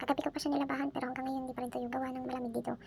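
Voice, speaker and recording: Against noticeable background noise, a woman with a high pitch talks at a very fast pace in a monotone, flat intonation. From Philippines. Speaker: domestic worker vlogger. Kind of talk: vlog narration. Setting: indoors, hiding in cold area.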